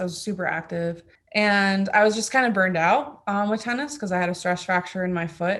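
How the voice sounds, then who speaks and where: A woman speaks with a Florida accent. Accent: American, Florida. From Florida, US (born in Germany, moved at six). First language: German. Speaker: track cyclist. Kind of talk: interview. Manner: casual, lots of fillers.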